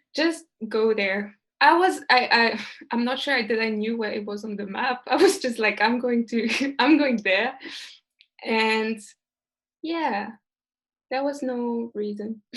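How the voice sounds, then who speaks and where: Over a quiet background, a woman with a French accent speaks fairly slowly in a fairly high voice, with ordinary pitch variation and long, frequent pauses. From France. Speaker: guest who lived abroad. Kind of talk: casual chat.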